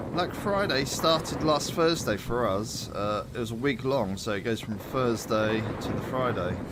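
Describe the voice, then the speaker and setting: With audible room echo and noticeable background noise, a man of medium pitch talks fairly slowly, his intonation lively and his speech hardly broken by pauses. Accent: British. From Britain. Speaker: gaming streamer. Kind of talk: casual chat.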